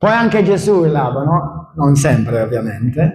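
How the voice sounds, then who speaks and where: A man speaks at a very slow pace with ordinary pitch variation, and audible room echo surrounds his voice. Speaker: pastor. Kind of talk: sermon. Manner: loud, shouting; animated.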